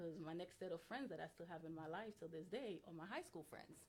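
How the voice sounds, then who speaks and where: At a moderate pace, a woman talks with a slight Haitian accent and a fairly low pitch. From Haiti, moved to US at nine. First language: Haitian Creole. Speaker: interview guest. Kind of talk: interview. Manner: hesitant, many fillers.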